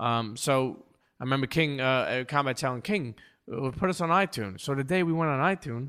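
A man with a New York accent speaks at a fairly quick pace in a fairly high pitch, his bright, sharp tone animated and his intonation lively, on a very clean recording with a silent background. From New York, Brooklyn (Coney Island). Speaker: podcast host and producer. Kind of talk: casual interview chat. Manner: animated, halting with repetitions.

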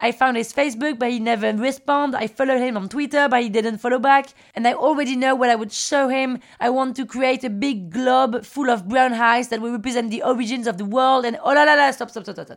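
Speaking with a French accent at a fairly quick pace, this animated voice barely pauses and swings widely in loudness. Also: woman, high pitch for a woman. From France, Paris. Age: 30s. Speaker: podcast host. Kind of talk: personal storytelling.

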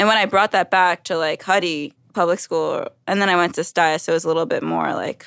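A woman with an American accent and a normal speaking voice talks fairly quickly at a medium pitch with ordinary pitch variation. The sound is dry and close with no echo, on a very clean recording with a silent background. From New York City, Brooklyn. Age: 30s. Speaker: Olympic fencer. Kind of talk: casual chat.

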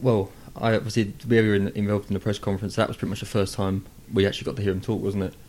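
Talking at a very fast pace, a man with a fairly low pitch has a dark, mellow tone. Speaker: football club media officer. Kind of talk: casual chat. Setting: club training ground interview room.

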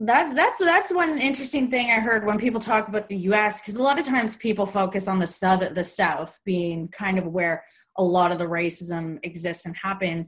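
Somewhat breathy, a woman speaks at medium pitch with lively intonation. Her pace is moderate, with hardly any pauses. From Canada. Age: 30s. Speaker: podcast host. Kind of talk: casual interview.

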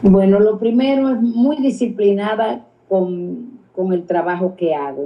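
A woman speaks at a very slow pace and a medium pitch. Her intonation is lively. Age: 80s+. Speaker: dance teacher and choreographer. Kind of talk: interview. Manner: halting, repeats words.

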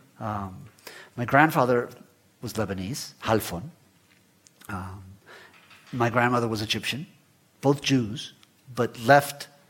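Speaking with a Spanish accent, a man of medium pitch moves at a fairly slow pace with ordinary pitch variation, long, frequent pauses and big swings in loudness. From Guatemala, raised in Florida US. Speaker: writer. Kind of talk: onstage interview. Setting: stage with audience. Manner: hesitant, repeats words.

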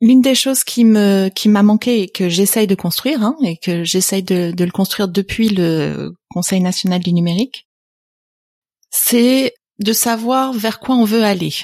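A woman speaks at a fairly slow pace in a normal speaking voice. The recording is very clean, with a silent background and a dry, close sound with no echo. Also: medium pitch for a woman, ordinary pitch variation. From France, partly raised in Canada. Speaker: venture capital investor. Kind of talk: interview conversation.

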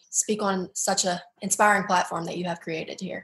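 Fairly quick and fairly even in intonation, a woman talks with a slight Southern US accent. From Baton Rouge, Louisiana.

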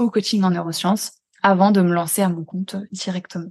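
This woman has an unremarkable speaking voice. Her intonation is fairly even and her pace fairly quick. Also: quiet background. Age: 20s. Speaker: neuroscience coach for highly sensitive people. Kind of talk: casual conversation interview.

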